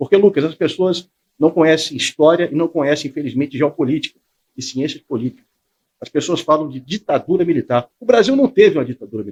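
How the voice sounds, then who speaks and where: A man's fairly high voice at a very fast pace, lively intonation, and a dry, close sound with no echo. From Espírito Santo, Brazil (Vila Velha). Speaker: military police commander. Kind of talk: interview.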